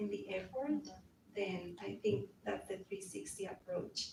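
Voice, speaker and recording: A woman with a Colombian accent at a moderate pace. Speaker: executive director of a community association. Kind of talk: panel discussion. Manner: direct.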